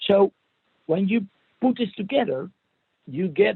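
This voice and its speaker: The speaker is a man. His delivery is fairly slow. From Netherlands. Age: 50s. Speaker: provocative coach and therapist. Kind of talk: interview. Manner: halting, many repeats and fillers; playful, ironic.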